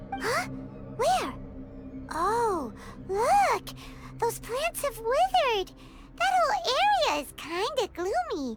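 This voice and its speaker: A squeaky, put-on character voice at an extremely high pitch, fairly slow with long, frequent pauses, over loud background music. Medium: video game. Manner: chatty, lively.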